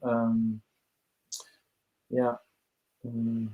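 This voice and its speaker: In a Norwegian accent, a man with a medium-pitched voice speaks at a very slow pace. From Norway. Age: 30s. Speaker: musician. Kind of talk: interview. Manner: halting.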